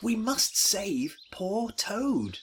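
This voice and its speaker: The voice is a put-on character voice. It belongs to a man and sits extremely high in pitch. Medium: read story. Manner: earnest, caring.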